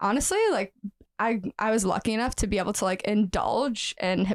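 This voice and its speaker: An unremarkable speaking voice comes at a moderate pace on a very clean recording with a silent background and a dry, close sound with no echo. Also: woman. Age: 20s. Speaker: professional dancer and nutritionist. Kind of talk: podcast interview.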